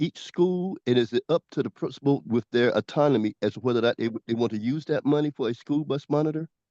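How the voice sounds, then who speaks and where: Dark, mellow tone from a man with a fairly high pitch, lively intonation and a fairly quick pace, in a dry, close sound with no echo over a quiet background. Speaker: community member. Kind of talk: community meeting question. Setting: video call. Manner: fast.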